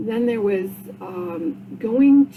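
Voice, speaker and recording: A woman at a very slow pace, against noticeable background noise. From Vermont, Rutland. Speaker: podcaster, cancer survivor. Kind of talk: casual monologue podcast. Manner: halting, many fillers.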